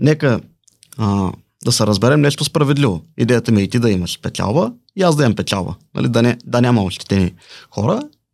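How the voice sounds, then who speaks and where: Here a man speaks at a medium pitch and a fairly quick pace. His intonation is lively and his loudness very even. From Bulgaria, Balchik. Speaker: salesman. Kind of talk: interview.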